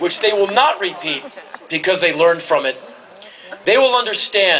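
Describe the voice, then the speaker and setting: A man raises and projects his voice at a high pitch with ordinary pitch variation. His pace is moderate, with noticeable background noise. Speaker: commencement speaker. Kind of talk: commencement speech to a live audience. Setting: large hall with audience cheering and laughing.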